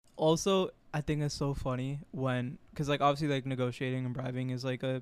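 A man speaks in a plain, everyday voice at a fairly high pitch. His intonation is fairly even and his pace fairly quick. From Florida, US. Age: 20s. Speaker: podcast co-host. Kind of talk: casual chat. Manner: casual.

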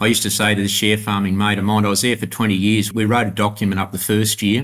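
Speaking very fast in a rural Australian accent, a man with a fairly low pitch keeps a monotone, flat intonation on a very clean recording with a silent background. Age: 60s. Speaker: grain farmer. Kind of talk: interview.

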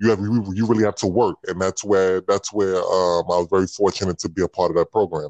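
In an American accent, the speaker talks at a fairly quick pace with monotone, flat intonation, and the sound is dry and close with no echo. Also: man, very deep, low pitch for a man, hardly any pauses. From New York City, the Bronx. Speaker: former college basketball player. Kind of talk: interview. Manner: halting.

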